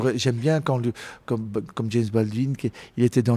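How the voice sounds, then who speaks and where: Here a man speaks at a medium pitch and a moderate pace, with ordinary pitch variation. His tone is dark and mellow, and the sound is dry and close with no echo. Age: 50s. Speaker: jazz singer. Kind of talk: interview conversation. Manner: halting, with many repetitions.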